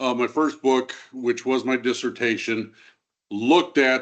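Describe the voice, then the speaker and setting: Against a quiet background, a man speaks at medium pitch and a moderate pace with fairly even intonation. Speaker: historian. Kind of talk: lecture. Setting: stage with audience. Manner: loud.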